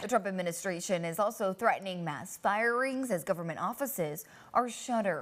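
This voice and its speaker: This woman has a plain, everyday voice with an American accent and a medium pitch. She talks at a fairly quick pace with ordinary pitch variation. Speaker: TV news anchor and reporter. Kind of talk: TV news anchor read.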